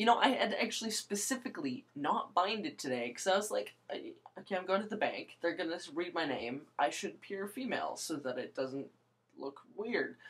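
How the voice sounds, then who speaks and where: Her pitch swinging very widely, a woman speaks at a fairly quick pace with vocal fry. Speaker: vlogger. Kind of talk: casual vlog monologue. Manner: halting, many fillers.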